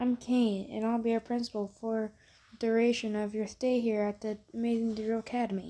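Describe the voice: The voice is a plain reading aloud.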